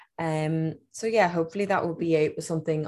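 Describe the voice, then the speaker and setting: A woman with an Irish accent speaks at a very deep, low pitch in a very clean recording with a silent background. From Ireland, Dublin area. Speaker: fashion designer and former nurse. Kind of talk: interview.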